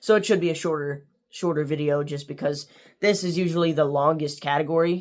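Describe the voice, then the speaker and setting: The recording is very clean, with a silent background. The speech moves at a fairly quick pace with fairly even intonation. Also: man, fairly high pitch for a man. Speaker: youtuber book reviewer. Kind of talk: casual vlog outro. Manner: monotone.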